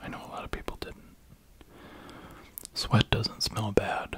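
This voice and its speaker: The speaker is a man, whispering. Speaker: ASMR creator. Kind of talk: ASMR sleep video, reading facts. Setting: close-up binaural microphone. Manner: soft-spoken. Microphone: studio mic.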